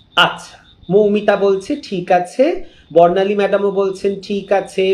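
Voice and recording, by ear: A man's high voice at a moderate pace, ordinary pitch variation, audible room echo around it.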